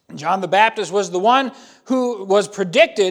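A man speaks loudly. His intonation is lively. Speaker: pastor. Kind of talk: sermon. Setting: church.

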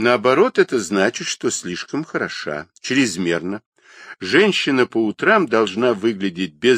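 The recording has an unforced reading voice over a quiet background.

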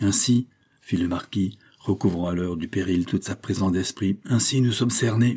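Ordinary pitch movement from an unforced reading voice

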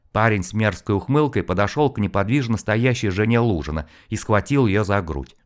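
The speaker is reading aloud. The voice is natural.

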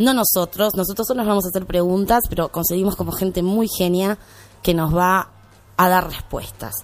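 With a normal speaking voice, a woman keeps to a medium pitch, moving at a moderate pace and with fairly even intonation. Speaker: radio host. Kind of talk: radio show.

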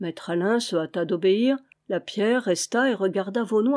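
Reading aloud in a natural voice, with ordinary pitch variation, against a quiet background.

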